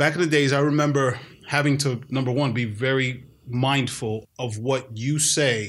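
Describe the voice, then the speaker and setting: A man speaks at medium pitch with fairly even intonation and an American accent. He has a plain, everyday voice, in a very clean recording with a silent background. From New York City. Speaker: podcast host, dad. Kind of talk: casual podcast discussion. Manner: conversational, joking.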